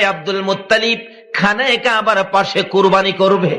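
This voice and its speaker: A raised, projected voice over noticeable background noise. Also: man. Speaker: Islamic preacher (waz). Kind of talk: waz mahfil story-telling sermon.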